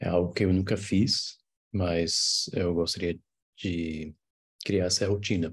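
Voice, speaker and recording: In a non-native accent, a man with a very deep, low pitch speaks at a very slow pace in a monotone, flat delivery, pausing long and often. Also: quiet background. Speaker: English teacher. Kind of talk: tutorial. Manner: hesitant, many fillers and restarts.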